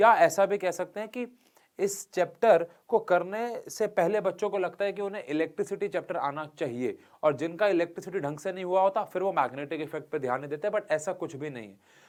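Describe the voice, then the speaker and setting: A man speaks at a moderate tempo. His voice is high-pitched, with ordinary pitch variation. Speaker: teacher. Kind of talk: lecture. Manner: conversational, with fillers.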